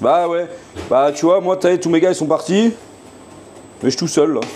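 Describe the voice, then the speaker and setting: Noticeable background noise surrounds a man whose pitch varies in a typical way. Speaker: chef streaming live from his restaurant kitchen. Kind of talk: casual live stream chat while cooking. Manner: animated.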